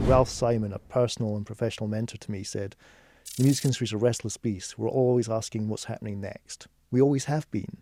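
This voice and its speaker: The tone is dark and mellow, with a slight Scottish accent. Delivery is very fast and the intonation fairly even. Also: man, medium pitch for a man. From Scotland, Edinburgh. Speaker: music economist. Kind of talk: podcast interview.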